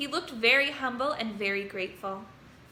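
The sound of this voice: The clip is read in an unforced reading voice.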